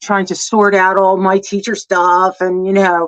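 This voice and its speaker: The voice belongs to a woman. She speaks in an American accent. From New Jersey. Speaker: former teacher, guest. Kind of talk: casual livestream chat.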